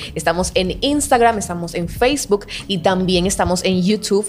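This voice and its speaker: A woman's animated voice at a medium pitch, ordinary in pitch variation and moderate in pace, over noticeable background noise. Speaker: podcast co-host. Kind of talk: casual chat.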